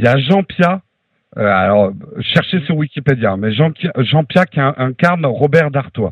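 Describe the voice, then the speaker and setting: Somewhat breathy and fairly high in pitch, a man talks at a fairly slow pace with lively intonation. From France, childhood partly in USA. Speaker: podcaster. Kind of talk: casual chat. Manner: animated.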